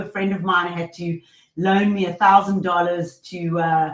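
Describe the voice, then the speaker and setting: A woman speaks at a fairly slow pace in a somewhat breathy voice. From South Africa, Johannesburg. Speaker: leadership coach and company founder. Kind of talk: podcast interview.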